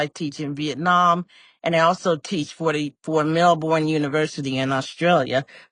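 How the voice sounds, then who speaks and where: At a moderate pace, a woman with an American accent talks in an unremarkable speaking voice. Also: quiet background. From US Midwest, inner-city Chicago. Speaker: professor and executive coach. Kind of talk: interview podcast conversation.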